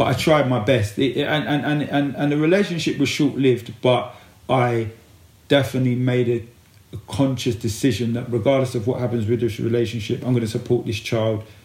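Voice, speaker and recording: At a fairly quick pace, a man with a medium pitch speaks in a somewhat breathy voice with ordinary pitch variation. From East London, England. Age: 40s. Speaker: men's life coach. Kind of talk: casual chat.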